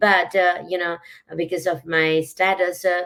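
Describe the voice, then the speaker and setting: The woman's intonation is monotone and flat. She talks at a fairly slow pace. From Nepal. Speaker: business coach. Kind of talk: live interview. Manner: hesitant, many fillers.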